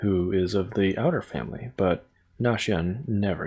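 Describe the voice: Just plain reading aloud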